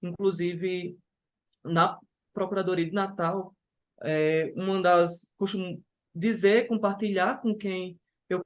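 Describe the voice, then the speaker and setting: Against a quiet background, a man talks at a fairly slow pace with a high pitch and fairly even intonation. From Brazil, interior of Ceará. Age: 20s. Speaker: civil servant and lawyer, exam candidate. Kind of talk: interview. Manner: halting, with self-corrections.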